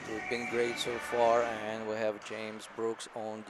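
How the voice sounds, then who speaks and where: A man with a non-native accent speaks at a fairly slow pace, with audible room echo and noticeable background noise. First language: not English. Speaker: hockey parent color commentator. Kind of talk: live commentary.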